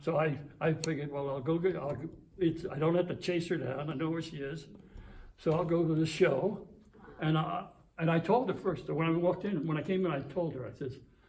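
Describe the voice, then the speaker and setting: Speaking at a fairly quick pace, a man with fairly high pitch and fairly even intonation is heard amid audible room echo and noticeable background noise. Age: 90s. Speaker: retired police officer. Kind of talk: casual chat. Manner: halting.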